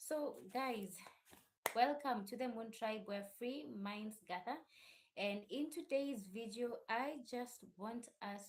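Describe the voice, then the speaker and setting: Somewhat breathy and fairly high-pitched, a woman talks at a very slow pace with ordinary pitch variation. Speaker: YouTube channel host discussing religion. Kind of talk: casual live stream talk. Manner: uneven volume.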